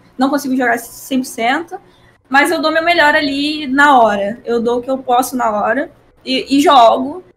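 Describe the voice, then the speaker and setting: High-pitched woman at a fairly slow pace, with ordinary pitch variation. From Rio de Janeiro, Brazil. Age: 20s. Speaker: professional esports player. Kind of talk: casual interview.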